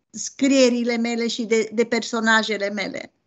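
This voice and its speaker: Against a quiet background, a woman speaks at a very slow pace and a high pitch. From Romania, Transylvania (Bistrița-Năsăud); Transylvania, Romania. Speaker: novelist. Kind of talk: interview. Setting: video call. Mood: earnest, personal. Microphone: video call.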